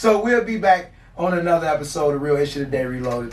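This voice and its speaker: Over noticeable background noise, a man with an American accent talks at a very fast pace. His fairly high voice has lively intonation. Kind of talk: casual chat. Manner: loud. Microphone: no proper recording, poor audio.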